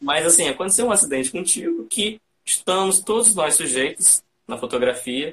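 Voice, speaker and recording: A man uses lively intonation while speaking at a fairly slow pace. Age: 20s. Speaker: podcast host and photographer. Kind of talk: live-stream interview. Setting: online live stream.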